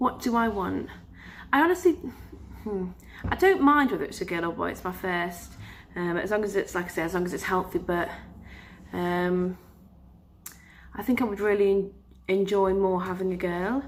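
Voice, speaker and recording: A woman talks with ordinary pitch variation and long, frequent pauses. Noticeable background noise is present. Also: medium pitch for a woman, moderate pace. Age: 20s. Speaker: vlogger. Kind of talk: casual vlog talk. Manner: hesitant, many filler sounds.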